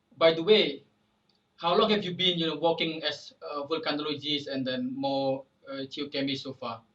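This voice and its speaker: With an Indonesian accent, a man speaks at a moderate pace in a fairly high pitch, with ordinary pitch variation. His loudness swings widely, and he leaves long, frequent pauses. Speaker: podcast host, volcano tour guide. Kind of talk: casual interview. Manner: halting.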